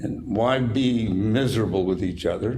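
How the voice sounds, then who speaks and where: A man with an American accent speaks at a medium pitch in a dark, mellow, somewhat breathy tone. His pitch varies in an ordinary way, and the room echo is audible. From Utah. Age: 90s. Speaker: company owner. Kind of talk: casual interview chat.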